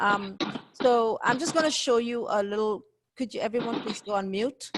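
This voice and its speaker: A woman talks at a moderate pace in a plain, everyday voice, her fairly high pitch showing ordinary pitch variation. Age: 40s. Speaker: investment educator. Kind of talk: webinar presentation.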